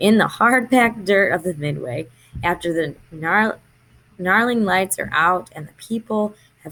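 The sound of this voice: Unforced reading voice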